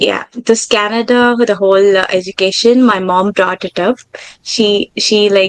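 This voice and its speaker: A woman's voice in a Tamil accent, medium in pitch, at a fairly slow pace with monotone, flat intonation and a dry, close sound with no echo. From India, Tamil-speaking. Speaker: aerospace engineer. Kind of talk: interview.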